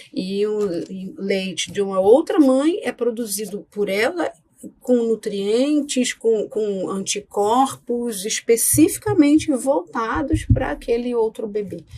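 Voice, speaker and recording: Amid noticeable background noise, a woman with a Rio de Janeiro accent speaks at a very slow pace, her fairly high pitch carried by lively intonation. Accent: carioca. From Rio de Janeiro, Brazil. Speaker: pediatrician. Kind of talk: interview. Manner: hesitant, many fillers.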